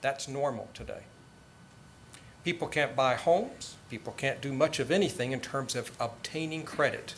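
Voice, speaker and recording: This man's voice is fairly high in pitch and somewhat breathy. He talks at a moderate pace with ordinary pitch variation. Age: 50s. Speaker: debater, tax lawyer. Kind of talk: formal debate speech. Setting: college debate with audience.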